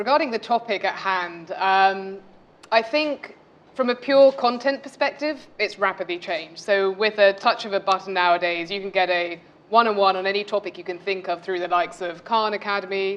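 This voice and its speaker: A woman with a British accent talks at a fairly quick pace and a medium pitch. Her pitch variation is ordinary, and there is noticeable background noise. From UK. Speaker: MBA student panelist. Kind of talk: panel discussion.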